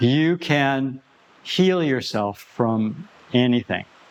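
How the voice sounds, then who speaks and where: Over noticeable background noise, a man talks with lively intonation at a medium pitch. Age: 70s. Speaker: qigong teacher. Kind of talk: casual talk to camera. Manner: halting, with repetitions.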